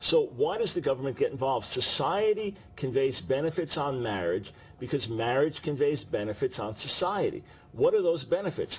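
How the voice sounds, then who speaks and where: Somewhat breathy and fairly high in pitch, a man speaks at a moderate pace with very wide pitch swings. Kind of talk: interview answer.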